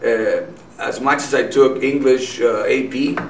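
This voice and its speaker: With noticeable background noise and audible room echo, a man speaks in a Spanish accent. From Nogales, Mexico. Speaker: businessman and activist. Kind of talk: interview.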